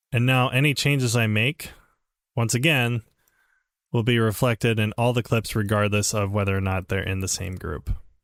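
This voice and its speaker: Medium pitch from a man, ordinary pitch variation, and a very clean recording with a silent background. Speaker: video colorist teaching a workshop. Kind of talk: tutorial. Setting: live stream. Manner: fast; casual, halting with many fillers.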